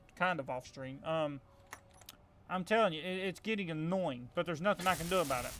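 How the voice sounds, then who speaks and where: A man's high-pitched voice with lively intonation. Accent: strong Southern US. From US South. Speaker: gaming streamer. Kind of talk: live gameplay commentary. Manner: casual, halting with fillers.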